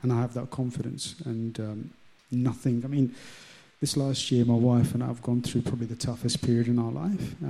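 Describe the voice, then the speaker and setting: Speaking with an English accent at a moderate pace, a man has a medium pitch and fairly even intonation. His tone is dark and mellow, and somewhat breathy. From London, England. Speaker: churchgoer sharing faith story. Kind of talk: testimony. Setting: stage with audience.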